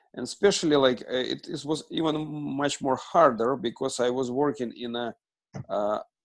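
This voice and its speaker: A man with a Russian accent talks at a fairly slow pace in a medium pitch. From Russia, Moscow. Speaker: student, ministry fundraiser. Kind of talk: class introduction. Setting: video call. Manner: halting, many fillers.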